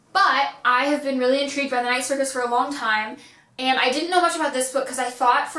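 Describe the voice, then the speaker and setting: A woman's high-pitched voice at a very fast pace with ordinary pitch variation, amid noticeable background noise and audible room echo. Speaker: booktuber. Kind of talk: casual vlog book haul. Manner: animated.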